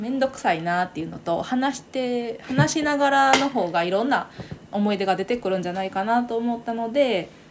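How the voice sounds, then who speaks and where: A woman with a normal speaking voice talks at a moderate pace, her pitch fairly high and her intonation lively. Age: 30s. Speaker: podcast co-host. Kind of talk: casual chat.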